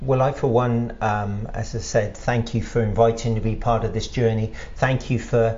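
A man with an English accent, medium pitch, somewhat breathy, at a moderate pace with audible room echo. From England. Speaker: podcast host, historian and writer. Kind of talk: interview. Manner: halting.

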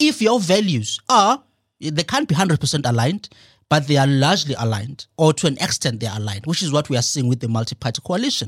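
A man with a fairly high, somewhat breathy voice talks at a very fast pace with very wide pitch swings, in a dry, close sound with no echo on a very clean recording with a silent background. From South Africa, rural KwaZulu-Natal. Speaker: author and political commentator. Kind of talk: radio interview. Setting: studio.

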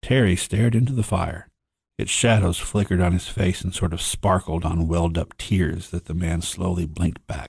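A man with an American accent speaks at a very deep, low pitch, somewhat breathy. His pace is moderate and his pitch varies in an ordinary way. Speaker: author and professor. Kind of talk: reading aloud.

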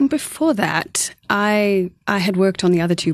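With a slight pause between thoughts, a woman with a South African accent speaks at a fairly slow pace over a quiet background. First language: Afrikaans. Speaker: co-author. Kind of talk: radio interview. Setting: studio. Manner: articulate.

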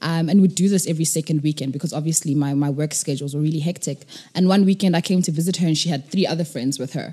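A woman with a very deep, low pitch and a dark, mellow tone talks very fast with hardly any pauses, somewhat breathy and with fairly even intonation. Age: 20s. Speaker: nonprofit co-founder. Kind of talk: interview.

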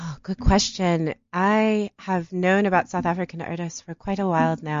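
The speaker has a Detroit accent and a moderate pace. The intonation is fairly even. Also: woman. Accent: American, Detroit. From US Midwest, Detroit. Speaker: art curator. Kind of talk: interview.

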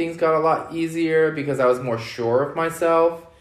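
With audible room echo, a man speaks at a fairly high pitch in an American accent. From US West Coast, Los Angeles. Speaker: drag queen and events manager. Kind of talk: interview.

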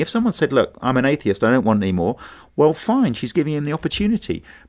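A man talks with a fairly high pitch and very wide pitch swings. There is vocal fry in his voice, over a quiet background. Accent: southern English. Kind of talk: interview.

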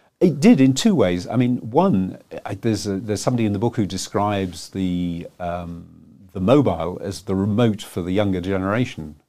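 A man's fairly low voice with a dark, mellow tone, fairly quick pace and ordinary pitch variation. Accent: British. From England. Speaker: telecoms analyst and author. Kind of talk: interview. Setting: studio.

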